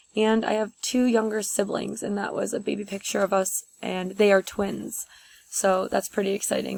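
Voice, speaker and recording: Her intonation is monotone and flat. The woman speaks at a moderate pace with a medium pitch. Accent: American. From upstate New York (near Utica). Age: 20s. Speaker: teacher. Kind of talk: class presentation video. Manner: casual with many fillers.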